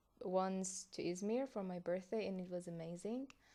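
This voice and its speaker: A woman with a Persian accent, medium-pitched with fairly even intonation, at a fairly slow pace over a quiet background. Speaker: content creator. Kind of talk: casual vlog reaction.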